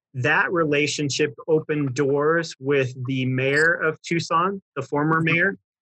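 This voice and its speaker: A man with an American accent uses an ordinary speaking voice at a fairly high pitch, speaking fairly slowly with hardly any pauses. His loudness stays very even, his intonation fairly even, and the sound is dry and close with no echo. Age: 40s. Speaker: pastor. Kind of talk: interview.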